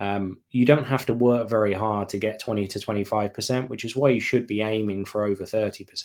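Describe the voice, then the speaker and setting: Speaking in an English accent, a man with a fairly low pitch moves at a fairly quick pace, with fairly even intonation and hardly any pauses. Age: 30s. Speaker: email marketing consultant and author. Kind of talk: interview conversation.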